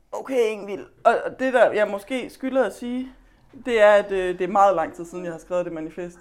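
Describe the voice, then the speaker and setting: This woman's pitch falls in the middle range. She talks at a moderate speed. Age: 30s. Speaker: author. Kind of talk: casual chat. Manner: halting.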